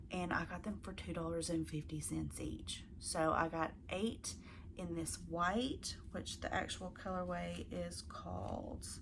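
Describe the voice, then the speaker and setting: Someone with a Southern US accent talks at a fairly slow pace, with audible room echo around the voice. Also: woman. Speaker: crafting video host. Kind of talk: casual chat to camera. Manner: casual, with fillers.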